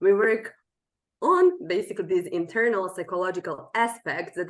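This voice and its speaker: The speaker is a woman. She talks with a Serbian accent. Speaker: language coach. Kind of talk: interview.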